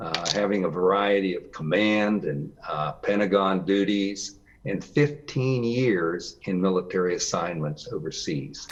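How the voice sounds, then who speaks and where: A man with an American accent speaks at a fairly slow pace with hardly any pauses, his fairly low pitch showing ordinary variation. Background noise is noticeable. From Western Pennsylvania, US. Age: 70s. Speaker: retired army colonel, youth exchange advisor. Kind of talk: interview. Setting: remote call. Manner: hesitant, many fillers.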